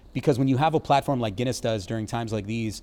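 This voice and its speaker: A man with an American accent and a plain, everyday voice, medium in pitch, fairly quick, with ordinary pitch variation. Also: very clean recording, silent background. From Baltimore, Maryland, US. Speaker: brewery brand ambassador. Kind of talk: casual interview chat.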